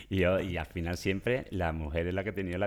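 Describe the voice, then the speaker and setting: A man talks at a fairly quick pace with an Andalusian accent and a very deep, low pitch. The recording is very clean, with a silent background. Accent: Andalusian Spanish (Seville). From Seville, Spain. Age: 50s. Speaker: personal shopper. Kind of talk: interview. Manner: animated; halting.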